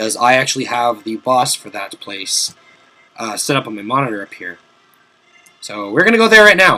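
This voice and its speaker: Over background music, a man of medium pitch talks at a moderate pace with lively intonation, big swings in loudness, and long, frequent pauses. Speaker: video game let's play commentator. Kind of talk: gameplay commentary. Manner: casual, animated; strained, forced-sounding voice.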